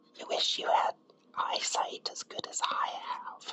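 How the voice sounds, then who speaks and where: Against noticeable background noise, a whisper unfolds at a very slow pace. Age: middle-aged. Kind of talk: ASMR whisper to camera. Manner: whispered.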